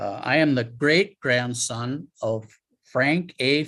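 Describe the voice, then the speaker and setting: Against a quiet background, a man speaks in a medium pitch with an Upper Midwest accent. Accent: Upper Midwest American. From Wisconsin, Marshfield. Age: 70s. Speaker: retiree, family historian. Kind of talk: public talk with slides.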